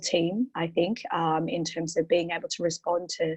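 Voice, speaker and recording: A woman with an Australian accent, a fairly low pitch and a moderate pace. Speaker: portfolio manager. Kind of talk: webinar interview. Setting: online webinar. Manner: halting, many fillers.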